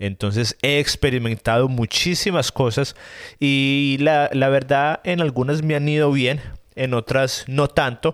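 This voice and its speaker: A man speaks at a fairly slow pace with a fairly high pitch. His intonation is fairly even, and his loudness stays very even. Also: very clean recording, silent background. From Colombia, Medellín. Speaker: podcast host. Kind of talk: casual solo podcast monologue. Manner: hesitant, many fillers.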